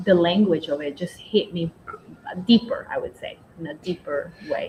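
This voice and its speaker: Speaking at a moderate pace with a Spanish accent, a woman shows big swings in loudness amid noticeable background noise. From Nicaragua. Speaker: recovery step teacher. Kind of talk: casual chat.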